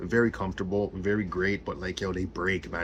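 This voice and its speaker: Mumbling at a very fast pace, a man speaks with a fairly low pitch. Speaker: gaming YouTuber. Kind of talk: casual vlog rant. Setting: home office at desk. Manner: halting, repetitive fillers.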